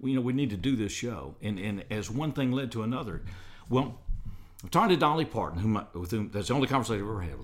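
Talking at a very fast pace, a man with a Southern US accent uses medium pitch and lively intonation. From US South, Alabama. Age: 60s. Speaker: radio host. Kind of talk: casual interview. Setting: studio.

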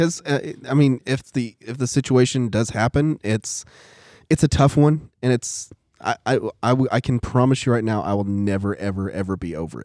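In a very clean, dry, close recording with no echo and a silent background, a man with an unremarkable speaking voice talks at a moderate pace and medium pitch. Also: ordinary pitch variation. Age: 40s. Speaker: church class teacher, guest. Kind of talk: casual chat.

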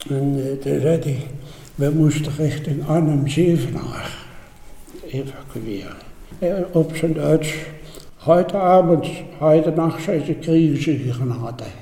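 Very slow, fairly even speech from a man with a fairly high voice, with long, frequent pauses, audible room echo and noticeable background noise. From Netherlands, Elst (Betuwe, Gelderland). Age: 80s+. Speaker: war eyewitness. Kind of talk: testimony.

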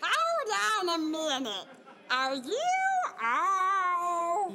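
A put-on character voice sits at an extremely high pitch and moves at a very slow pace. Clear background noise is audible. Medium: audio drama. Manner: folksy, genial.

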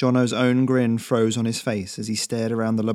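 A voice reading aloud in a natural voice

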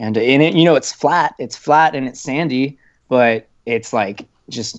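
A man's ordinary speaking voice, medium in pitch, with ordinary pitch variation and a moderate pace. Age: 20s. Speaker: student and type 1 diabetic hiker. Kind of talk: podcast interview.

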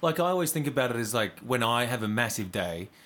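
This man speaks with an Australian accent. His pace is very fast. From Western Australia, Karratha. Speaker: podcast host. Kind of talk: casual chat.

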